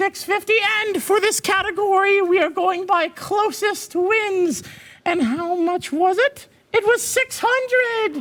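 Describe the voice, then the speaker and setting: This cartoonish character voice sits at an extremely high pitch and moves at a fairly slow pace with an upbeat, playful tone. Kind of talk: game show host. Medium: puppet.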